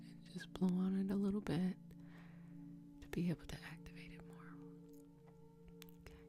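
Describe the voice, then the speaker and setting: A soft-spoken woman talks over music in the background. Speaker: Reiki master teacher. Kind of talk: guided energy healing session.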